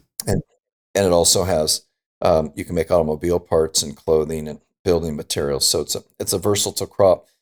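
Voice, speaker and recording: With an American accent, a man talks at a fairly quick pace in a dry, close sound with no echo. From Southern California. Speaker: retired food company founder. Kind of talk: interview. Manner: halting, many fillers and repeats.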